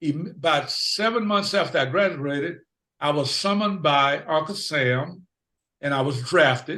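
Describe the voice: With audible room echo, a man speaks at a fairly slow pace, his fairly high pitch paired with a bright, sharp tone. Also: lively intonation.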